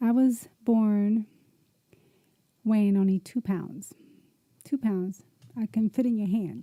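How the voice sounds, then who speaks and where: A woman with an American accent speaks very slowly, with long, frequent pauses, in a somewhat breathy voice of dark, mellow tone, at a fairly high pitch with fairly even intonation and very even loudness. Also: dry, close sound with no echo. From US Northeast, Camden, New Jersey. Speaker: podcast host. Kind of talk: personal life story, testimony. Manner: casual, conversational.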